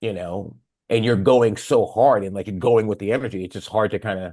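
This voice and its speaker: Over a quiet background, a man with an American accent talks fairly quickly in a fairly low pitch, with ordinary pitch variation. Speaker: rock singer. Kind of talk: casual chat. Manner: animated.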